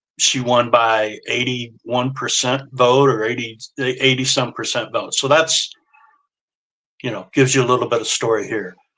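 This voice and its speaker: A man with a Midwestern US accent, medium pitch, a bright, sharp tone and flat, monotone intonation at a moderate pace. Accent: US Midwest. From rural Indiana, Wabash County. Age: 60s. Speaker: social media influencer. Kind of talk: casual interview.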